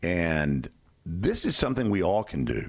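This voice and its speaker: A man with an American accent and very wide pitch swings. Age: 60s. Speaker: radio host. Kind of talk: on-air discussion.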